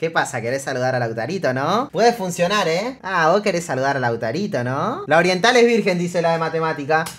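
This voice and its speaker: A man with a Rioplatense accent speaks in a high pitch at a fairly quick pace, with hardly any pauses. His tone is animated and his intonation lively. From Argentina. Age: 20s. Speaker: streamer. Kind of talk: reaction stream commentary. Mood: amused, joking. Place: home room.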